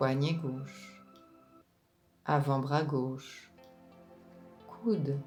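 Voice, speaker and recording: Very slowly, a woman speaks in a very deep, low voice with a calm, soothing tone. Music plays in the background. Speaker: relaxation and meditation guide. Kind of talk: guided relaxation / yoga nidra session. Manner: slow, calm, soothing.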